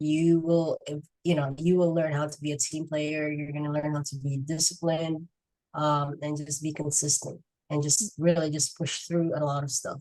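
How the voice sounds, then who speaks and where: Flat and monotone in intonation, the voice carries a dark, mellow tone. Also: woman, very deep, low pitch for a woman, moderate pace. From Philippines. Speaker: active-duty sailor and marketing business owner. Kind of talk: podcast interview. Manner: hesitant, many fillers.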